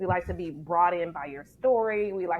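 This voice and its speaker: An ordinary speaking voice from a woman, medium in pitch with ordinary pitch variation, in an American accent against a quiet background. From Detroit, Michigan, US. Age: 40s. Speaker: ministry leader and speaker. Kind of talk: podcast interview.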